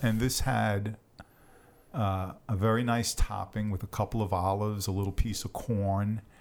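With a New York accent, the speaker keeps a moderate pace and fairly even intonation. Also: man, fairly low pitch for a man. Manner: casual, conversational storyteller.

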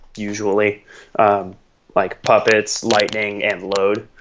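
A man speaks with monotone, flat intonation. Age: 20s. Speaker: metal fan podcast guest. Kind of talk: casual chat.

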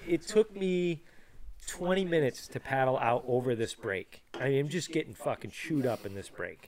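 A man with a fairly high pitch speaks at a moderate pace with lively intonation. He has an ordinary speaking voice. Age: 30s. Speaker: podcast host. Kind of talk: casual chat.

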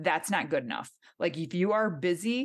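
In a Michigan accent, a woman with fairly low pitch uses lively intonation over a quiet background. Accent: Michigan, nasal. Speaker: fitness trainer and podcast host. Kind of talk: interview.

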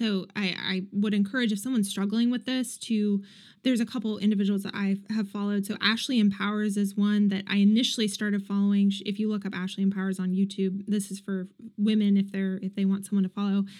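At a very fast pace, a woman with an American accent talks in a somewhat breathy voice at a medium pitch. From US Midwest, Columbus, Ohio. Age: 20s. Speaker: fitness influencer, former powerlifter. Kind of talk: casual interview. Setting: remote call.

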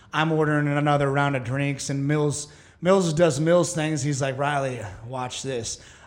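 A man with an American accent talks at a moderate pace in a fairly high pitch, his intonation fairly even, with audible room echo around him. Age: 30s. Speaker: podcast host. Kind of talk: casual chat.

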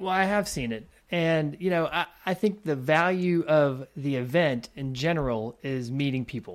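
A man with an ordinary speaking voice, fairly high in pitch, lively in intonation and moderate in pace, on a very clean recording with a silent background. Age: 40s. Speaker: video producer. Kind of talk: casual chat. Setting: call.

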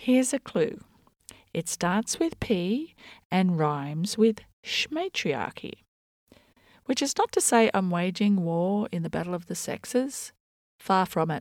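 On a very clean recording with a silent background and a dry, close sound with no echo, a woman with an Australian accent and a medium pitch speaks fairly slowly with lively intonation and long, frequent pauses. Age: 50s. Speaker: podcast host, journalist and performance artist. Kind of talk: scripted monologue. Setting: home bedroom.

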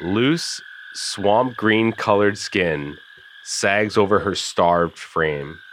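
A natural reading voice carries the clip. It stays that way from start to finish.

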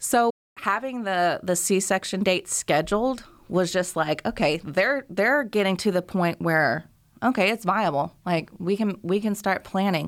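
Recorded very cleanly against a silent background, a woman with an unremarkable speaking voice speaks at a fairly slow pace, medium in pitch, with ordinary pitch variation and very even loudness. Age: 30s. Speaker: mother and author. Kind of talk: interview testimony.

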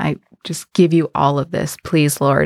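Spoken at a fairly slow pace with fairly even intonation, the clip is a very clean recording with a silent background and a dry, close sound with no echo. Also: woman. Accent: American. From South Texas, McAllen (Mexican border). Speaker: parish digital ministries coordinator. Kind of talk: interview testimony.

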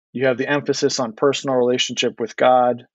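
A man with an American accent is speaking. He talks at a fairly quick pace. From US, DC suburbs. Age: 40s. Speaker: author. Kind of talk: interview.

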